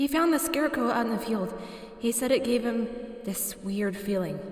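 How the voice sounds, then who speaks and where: A woman's plain, everyday voice, fairly quick in pace, with lively intonation. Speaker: horror story narrator. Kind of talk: horror story reading.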